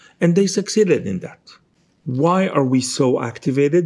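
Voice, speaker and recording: The speaker has an Israeli accent and a moderate pace. The intonation is lively. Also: man. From Israel, Jerusalem. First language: Hebrew. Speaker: novelist. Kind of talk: interview. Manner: halting.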